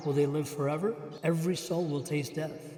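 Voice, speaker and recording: A man speaks at a fairly high pitch in a monotone, flat intonation. Noticeable background noise is present. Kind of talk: scripture reading.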